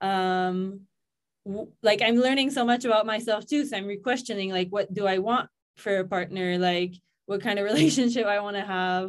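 Speaking in a Quebec accent, a woman uses a medium pitch with ordinary pitch variation at a moderate pace. The recording is very clean, with a silent background. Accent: Quebecois French-accented English. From Quebec, Canada. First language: French. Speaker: yoga teacher and content creator. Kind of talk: casual chat.

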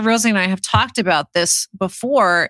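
Heard in a dry, close sound with no echo, the woman's voice has a bright, sharp tone. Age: 40s. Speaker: podcast co-host. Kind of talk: casual chat.

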